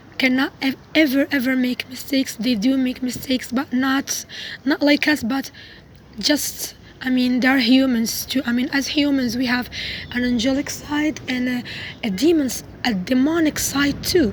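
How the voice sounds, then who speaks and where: A woman's high-pitched speech at a moderate pace, fairly even in intonation, with noticeable background noise. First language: not English. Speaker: religious video vlogger. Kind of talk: casual monologue. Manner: halting, self-correcting.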